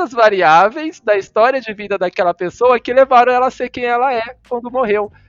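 A man is talking. His pace is fairly quick. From Cuiabá, Mato Grosso, Brazil. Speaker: psychologist and lecturer. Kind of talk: casual interview chat. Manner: halting, many fillers.

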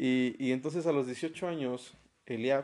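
The man's pitch moves in an ordinary way. It stays in a medium range. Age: 30s. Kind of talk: casual chat.

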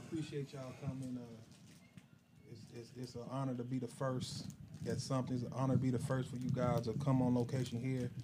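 There is audible room echo as a man talks fairly quickly at a medium pitch in a monotone, flat way. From Chicago. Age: 40s. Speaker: barber and shop owner. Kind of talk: interview.

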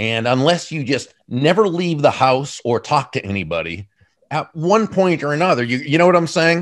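A man with a fairly high pitch, lively intonation and an unremarkable speaking voice, at a moderate pace. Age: 60s. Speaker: author and business speaker. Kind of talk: interview.

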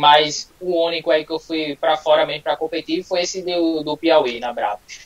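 A man's ordinary speaking voice, fairly high in pitch with fairly even intonation, at a moderate pace with hardly any pauses, in a dry, close sound with no echo. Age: 20s. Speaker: calisthenics athlete. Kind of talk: casual live interview.

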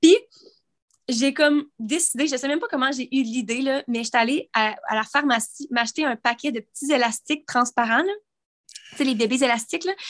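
A woman with a Quebec accent speaks at a moderate pace in a high pitch with ordinary pitch variation, recorded dry and close with no echo. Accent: Québécois French. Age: 20s. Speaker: podcast co-host and YouTuber. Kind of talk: casual chat.

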